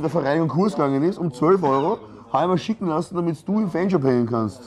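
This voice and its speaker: Talking very fast, a man uses a fairly high-pitched voice. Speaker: podcast host. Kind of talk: casual chat. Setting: sports ground canteen.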